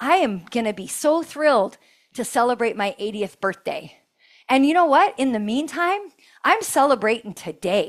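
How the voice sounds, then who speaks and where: Her animated tone, high pitch and very wide pitch swings come through at a moderate pace as a woman speaks on a very clean recording with a silent background. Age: 50s. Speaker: fitness coach and podcast host. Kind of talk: workout instruction with motivational talk.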